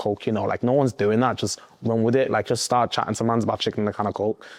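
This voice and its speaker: A man of medium pitch with a Liverpool accent. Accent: Scouse. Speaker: content creator. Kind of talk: casual vlog talk.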